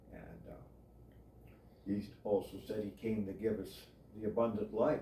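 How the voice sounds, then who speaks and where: This man's fairly low, somewhat breathy voice moves at a moderate pace with fairly even intonation and big swings in loudness. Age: 70s. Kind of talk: casual chat. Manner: halting; formal.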